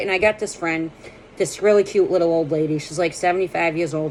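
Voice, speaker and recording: Fairly quick speech from a woman, with noticeable noise in the background. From Boston. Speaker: comedian. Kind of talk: casual monologue to camera. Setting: at home. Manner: jumpy, energetic.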